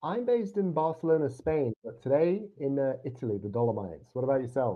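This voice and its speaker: His pitch is fairly high for a man, and it swings very widely. The man talks at a fairly quick pace. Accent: British. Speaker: podcast host. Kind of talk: casual chat; interview.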